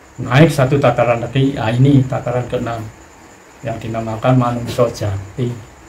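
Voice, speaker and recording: In a Javanese accent, a man talks at a moderate pace with a medium pitch and monotone, flat intonation, while audible room echo surrounds him. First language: Javanese (speaking Indonesian). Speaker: spiritual teacher. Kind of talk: spiritual teaching talk.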